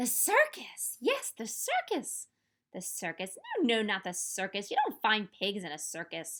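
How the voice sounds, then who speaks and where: Using a put-on character voice, a woman cackles in a shrill, fairly high pitch at a moderate pace. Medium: read story. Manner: cackling, shrill.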